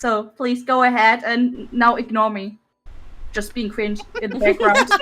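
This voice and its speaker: A woman with a non-native accent speaks at a fairly high pitch in a bright, sharp tone. Her intonation is monotone and flat. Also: fairly slow pace. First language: not English. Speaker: VTuber streamer and artist. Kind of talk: casual chat.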